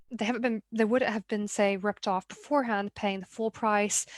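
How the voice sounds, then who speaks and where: A woman in a Mid-Atlantic American accent speaks at a fairly high pitch and a fairly quick pace with fairly even intonation. The recording is very clean with a silent background, and the sound is dry and close with no echo. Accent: Mid-Atlantic, posh American. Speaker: art business consultant and show host. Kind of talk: solo talk show monologue. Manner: conversational, with frequent repetitions.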